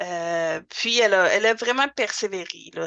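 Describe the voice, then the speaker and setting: A woman with a bright, sharp tone speaks at a fairly slow pace, keeping her intonation fairly even. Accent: Quebec. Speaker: language school director and teacher. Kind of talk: podcast interview. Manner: hesitant, many fillers.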